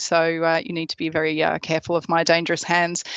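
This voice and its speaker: Against a quiet background, a woman with an Australian accent speaks at a fairly quick pace and fairly low pitch, the sound dry and close with no echo. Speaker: product specialist. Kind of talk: webinar presentation. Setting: online webinar. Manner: hesitant with many fillers.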